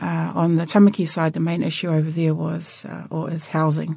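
A woman with a New Zealand accent, a fairly low pitch and a moderate pace. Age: 50s. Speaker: local politician. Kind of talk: interview.

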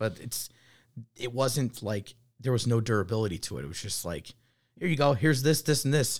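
Somewhat breathy and medium in pitch, a man speaks with long, frequent pauses on a very clean recording with a silent background. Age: 30s. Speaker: firefighter. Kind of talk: casual chat.

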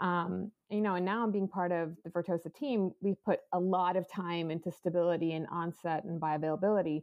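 In a plain, everyday voice, a woman talks at a fairly quick pace with a fairly low pitch and fairly even intonation. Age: 40s. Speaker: cannabis company executive. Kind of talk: casual interview.

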